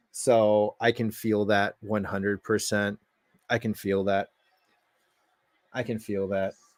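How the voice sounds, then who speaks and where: Very slowly and with long, frequent pauses, a man speaks in a fairly low, monotone, flat voice, the sound dry and close with no echo. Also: very clean recording, silent background. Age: 30s. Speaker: streamer and comics fan. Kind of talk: casual live stream chat. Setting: live stream. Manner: loud.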